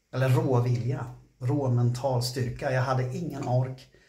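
A man speaks at a fairly slow pace in a somewhat breathy voice, with audible room echo and a quiet background. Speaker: fitness vlogger. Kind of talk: casual vlog chat. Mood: gritty, swearing, proud.

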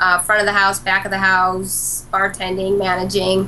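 There is light background noise. Over it, a woman talks at a fairly slow pace. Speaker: remote guest. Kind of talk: interview answer. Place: office.

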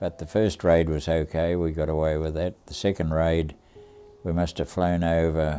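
In an Australian accent, the speaker uses a dark, mellow tone with monotone, flat intonation at a fairly slow pace. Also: man. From Australia, Tasmania. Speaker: war veteran. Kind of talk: interview storytelling. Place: home room.

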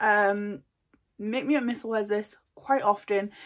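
With a British accent, a woman talks at a fairly slow pace against a quiet background. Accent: dropped H sounds, regional British. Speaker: beauty vlogger. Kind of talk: casual product haul. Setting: at home desk, filming video. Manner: casual, chatty, filler words. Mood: chatty, enthusiastic. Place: home room. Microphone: phone near.

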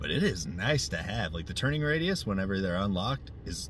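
A somewhat breathy man's voice with very wide pitch swings, dry with no echo, over light background noise. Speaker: RC car hobbyist reviewer. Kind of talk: casual vlog chat. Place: car. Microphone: phone near.

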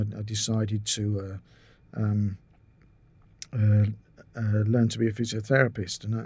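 A man's voice sits fairly low, somewhat breathy with a dark, mellow tone. His intonation is monotone and flat, and the sound is dry with no echo. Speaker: podcast guest. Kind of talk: interview answer. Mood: relaxed, reminiscing. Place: home room. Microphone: studio mic.

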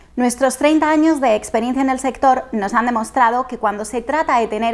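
A woman speaks at a moderate pace, her pitch varying in an ordinary way. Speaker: presenter. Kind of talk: scripted presentation. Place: home room. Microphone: lapel.

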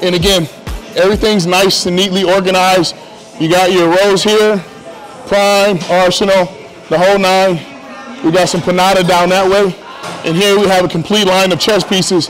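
Monotone, flat intonation at a moderate pace, with very even loudness, long, frequent pauses and faint music in the background. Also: man, high pitch for a man. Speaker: gym owner or coach. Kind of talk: walkthrough commentary. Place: gym. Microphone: lapel.

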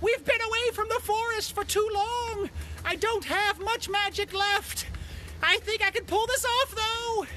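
A man speaks in a put-on character voice. His pace is moderate, with clear background noise behind him. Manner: urgent, determined.

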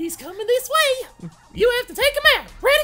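A woman's squeaky, put-on character voice at extremely high pitch and a moderate pace, with faint music in the background. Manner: panicked, urgent.

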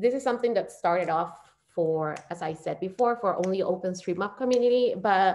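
At a moderate pace, a woman says her lines. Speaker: PhD candidate and community organizer. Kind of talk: online presentation. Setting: video call. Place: home room. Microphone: webcam.

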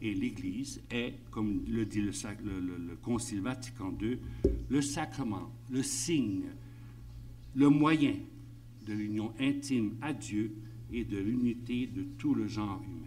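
A man's fairly low, dark, mellow voice with vocal fry, very slow pace, ordinary pitch variation, long, frequent pauses, and light background noise. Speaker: priest giving a conference talk. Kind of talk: lecture. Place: meeting room. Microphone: podium.

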